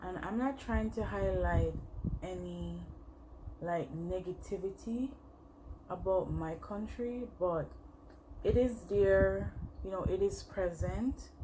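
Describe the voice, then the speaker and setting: A woman with a Jamaican accent speaks at a very slow pace, with long, frequent pauses and audible room echo. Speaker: makeup vlogger. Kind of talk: casual chat while doing makeup tutorial. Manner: hesitant, many fillers.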